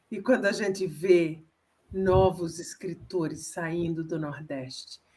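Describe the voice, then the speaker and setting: Speaking very slowly with long, frequent pauses, a woman uses a fairly low pitch and fairly even intonation while her loudness swings widely. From Northeast Brazil. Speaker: author. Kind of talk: interview.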